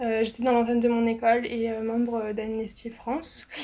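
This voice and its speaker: This is a woman speaking. Her voice sits at a fairly high pitch. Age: 20s. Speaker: student association founder. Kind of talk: interview. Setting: video call. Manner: casual, hesitant with fillers.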